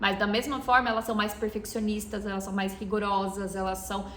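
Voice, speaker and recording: A woman talks fairly quickly at a fairly high pitch, with audible room echo and noticeable background noise. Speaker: ayurveda therapist and podcast host. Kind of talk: podcast lecture.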